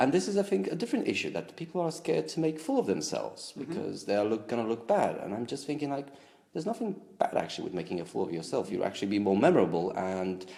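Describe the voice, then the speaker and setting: A man with a Romanian accent speaks at medium pitch in a dark, mellow tone with vocal fry and very wide pitch swings. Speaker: language enthusiast. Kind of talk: interview answer.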